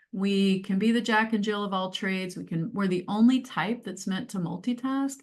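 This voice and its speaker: A woman's medium-pitched, somewhat breathy voice at a moderate pace with hardly any pauses. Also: ordinary pitch variation. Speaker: change advisor and career coach. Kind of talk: webinar presentation.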